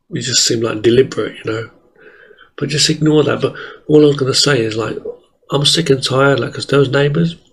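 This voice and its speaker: The voice is somewhat breathy with fairly even intonation. It runs at a very fast pace, with long, frequent pauses. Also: man, fairly high pitch for a man. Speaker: martial arts animator and vlogger. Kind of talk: casual monologue. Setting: home, late at night. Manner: soft-spoken. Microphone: voice may be too quiet.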